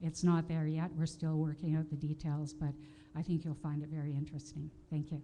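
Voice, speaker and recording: A woman with a Canadian accent speaks at a moderate pace in a very deep, low pitch with monotone, flat intonation, against noticeable background noise. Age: 60s. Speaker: audience member at conference. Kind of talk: audience question at conference. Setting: conference hall with audience. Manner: hesitant, many fillers.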